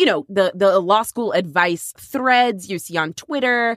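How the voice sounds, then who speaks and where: With a dry, close sound with no echo and a very clean recording with a silent background, a woman talks at a fairly slow pace with lively intonation. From Texas. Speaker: podcast co-host, lawyer. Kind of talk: casual chat.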